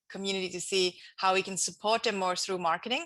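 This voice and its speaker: A woman with a Swiss accent speaks at a medium pitch in a bright, sharp tone. The background is quiet. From Switzerland. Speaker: entrepreneur and author. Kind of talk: interview.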